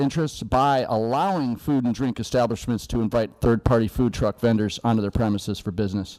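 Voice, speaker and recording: Dark, mellow tone at a fairly quick pace, with ordinary pitch variation. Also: man. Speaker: public commenter at city meeting. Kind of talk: public comment; prepared statement read aloud. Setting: city commission meeting. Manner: formal.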